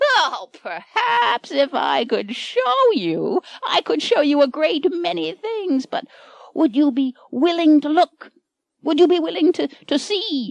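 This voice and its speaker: A woman's put-on character voice, high-pitched and cackling, at a fairly slow pace. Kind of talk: storybook witch. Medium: audio drama. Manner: cackling, brusque.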